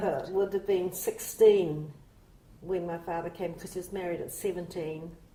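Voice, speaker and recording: Over noticeable background noise, a woman speaks at a moderate pace in a flat monotone with a fairly low pitch, her loudness swinging widely. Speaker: oral history interviewee, New Zealand-born Chinese. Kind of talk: interview answer.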